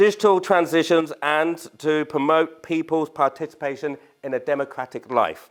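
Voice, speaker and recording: Speaking with a British accent, a man uses a fairly high pitch, fairly even intonation and a moderate pace. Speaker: charity trustee. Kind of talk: public speech.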